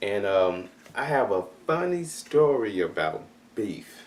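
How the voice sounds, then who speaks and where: A man with a Memphis accent. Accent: Southern US (Memphis). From US South, Memphis, Tennessee. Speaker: chef. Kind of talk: testimony. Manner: halting.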